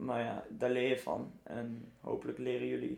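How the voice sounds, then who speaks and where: A man's fairly slow speech over noticeable background noise. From Netherlands, Arnhem. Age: 20s. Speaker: survival run trainer and entrepreneur. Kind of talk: casual interview.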